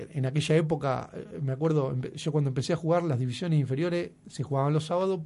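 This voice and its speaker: A man speaks at a fairly quick pace with a fairly high pitch. His voice is somewhat breathy, with a dark, mellow tone. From Argentina, Buenos Aires province countryside. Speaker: local sports official. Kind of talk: radio interview. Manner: halting, with frequent repetitions.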